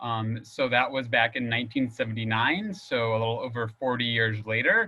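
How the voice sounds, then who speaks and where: A man of medium pitch speaks at a moderate pace with ordinary pitch variation. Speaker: nonprofit volunteer manager. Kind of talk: webinar presentation. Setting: video call. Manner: animated.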